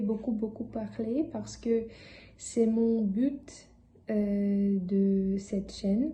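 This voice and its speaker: A woman's medium-pitched, somewhat breathy voice with a dark, mellow tone, monotone, flat intonation, and audible room echo. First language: not French (speaking French). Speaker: language learner vlogger. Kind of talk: casual vlog talk. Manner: halting, many hesitations.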